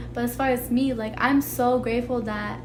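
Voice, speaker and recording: A woman speaks with noticeable background noise and audible room echo. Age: 20s. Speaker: vlogger. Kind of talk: personal monologue vlog. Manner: casual, full of fillers.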